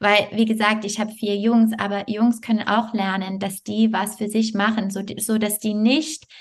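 With a non-native accent, the speaker sounds somewhat breathy and keeps a fairly even intonation. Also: woman. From Canada, Montreal. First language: not German (speaking German). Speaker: yoga teacher and health coach. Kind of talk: interview.

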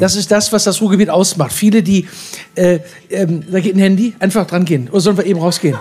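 A man talks at a very fast pace in a high pitch, with fairly even intonation, very even loudness and noticeable background noise. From Ruhr area, Duisburg. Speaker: cabaret artist. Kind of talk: live stage interview.

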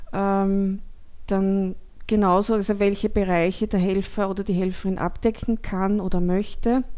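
The speaker is a woman with a medium pitch and a dark, mellow tone. Her intonation stays monotone and flat. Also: moderate pace. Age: 60s. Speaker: retired geriatric care worker, volunteer coordinator. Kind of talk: interview.

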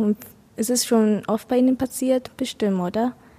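A woman with a Vietnamese accent speaks at a moderate pace in a fairly high voice, with noticeable background noise. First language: Vietnamese (speaking German). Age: 20s. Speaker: vocational school student. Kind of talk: casual chat. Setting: café in front of a cinema. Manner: halting.

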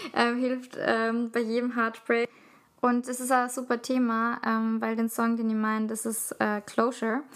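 A woman talks with a fairly high pitch. Her intonation is monotone and flat. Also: fairly slow pace. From Austria, city of Salzburg. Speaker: podcast co-host. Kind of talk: casual chat.

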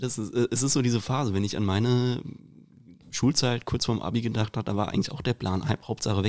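A man's fairly quick delivery in a normal speaking voice, with fairly even intonation, on a very clean recording with a silent background. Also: medium pitch for a man. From Hesse, Rüsselsheim. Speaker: podcast host. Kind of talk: casual chat; quote reading.

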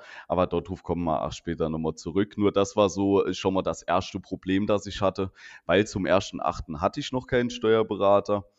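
A man's very deep, low voice with a Saarland accent, at a moderate pace. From Saarland, Germany. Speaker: insurance agent and podcast co-host. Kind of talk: casual chat.

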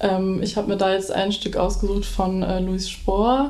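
Against noticeable background noise and audible room echo, a woman of medium pitch speaks at a fairly slow pace. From Dortmund, Ruhr area, Germany. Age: 20s. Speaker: violinist and music student. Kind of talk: interview.

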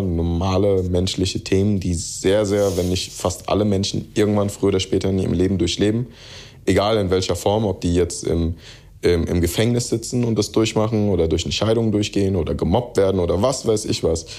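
A man talks at a fairly quick pace in a very deep, low voice with a dark, mellow tone. His intonation is fairly even. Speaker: rapper. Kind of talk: interview. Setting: remote call. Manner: mixes in English phrases.

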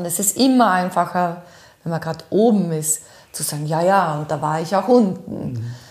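At a moderate pace, a woman speaks in a fairly low, somewhat breathy voice. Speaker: voice and rhetoric trainer, former radio host. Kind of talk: interview. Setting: in her office.

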